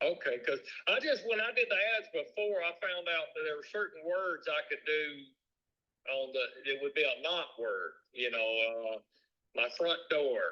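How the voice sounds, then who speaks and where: A man with a Southern US accent talks at a moderate pace. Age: 60s. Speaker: business owner. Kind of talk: sales call. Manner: casual.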